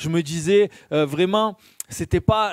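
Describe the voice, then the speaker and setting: A man with a slight Marseille accent speaks at a high pitch and a fairly slow pace. His sound is dry and close, with no echo. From southern France, Marseille. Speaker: lay preacher. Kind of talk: sermon. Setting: church. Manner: hesitant, frequent fillers.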